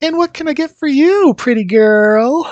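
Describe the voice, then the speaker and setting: At a moderate pace, a man does a put-on character voice pitched extremely high. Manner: sweet, kind.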